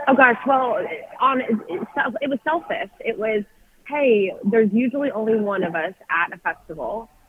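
A woman with a Texan accent speaks at a moderate pace in a fairly high pitch, her voice swinging very widely in pitch over noticeable background noise. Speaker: country music singer. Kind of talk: casual interview. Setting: phone call. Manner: animated.

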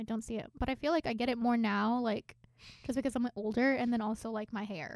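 A woman talks at a fairly quick pace and a fairly high pitch, in a plain, everyday voice. Her intonation stays fairly even. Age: 20s. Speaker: podcast co-host. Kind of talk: casual chat. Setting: studio.

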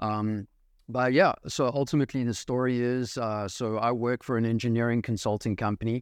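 An ordinary speaking voice from a man at medium pitch, moderate pace and fairly even intonation, with a dry, close sound, no echo and a quiet background. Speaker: real estate investor, engineering sales. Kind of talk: casual interview chat.

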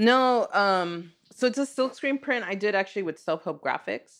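Against a quiet background, a woman with an American accent and a plain, everyday voice speaks at a fairly slow pace with lively intonation. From Los Angeles, Echo Park. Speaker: artist and teacher. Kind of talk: casual interview. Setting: in host's home.

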